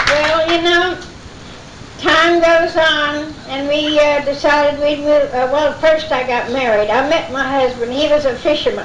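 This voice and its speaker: In a Southern US accent, the speaker goes at a fairly slow pace with fairly even intonation over noticeable background noise. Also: woman, high pitch for a woman. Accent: Southern American. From Florida, South Brevard. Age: 80s+. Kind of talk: oral history talk to an audience. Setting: live event recording.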